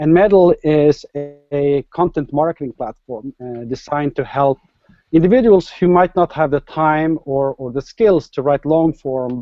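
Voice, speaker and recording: This man speaks with a Norwegian accent at a moderate pace. His pitch sits fairly high. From Norway. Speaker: startup entrepreneur. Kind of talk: interview.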